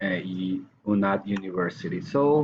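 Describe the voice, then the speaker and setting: In a Colombian accent, a man speaks with very wide pitch swings. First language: Spanish. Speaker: language student and English teacher. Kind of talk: recorded course assignment answering questions. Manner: hesitant, with fillers.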